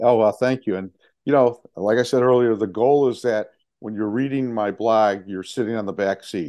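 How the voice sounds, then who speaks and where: A plain, everyday voice with an American accent, fairly even intonation and a moderate pace. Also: man, medium pitch for a man. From Chicago, US Midwest. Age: 60s. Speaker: touring motorcyclist and charity fundraiser. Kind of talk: casual interview.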